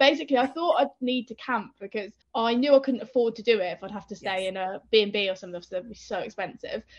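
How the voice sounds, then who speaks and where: A woman with an English Midlands accent talks at a very fast pace, fairly high in pitch with ordinary pitch variation. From English Midlands, Northampton. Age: young. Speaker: author and endurance runner. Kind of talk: casual chat.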